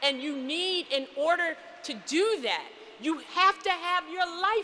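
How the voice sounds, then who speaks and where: A woman with an American accent speaks in an extremely high pitch, her voice raised and projected, with an animated tone and a fairly slow pace. Noticeable background noise is present. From US Northeast, Philadelphia. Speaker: physician and commencement speaker. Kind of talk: commencement speech. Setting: church.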